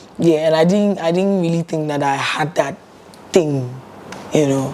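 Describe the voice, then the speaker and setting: A woman speaks with a very deep, low pitch. Noticeable background noise runs beneath her voice. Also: ordinary pitch variation, moderate pace. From Ghana. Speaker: singer. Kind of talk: interview.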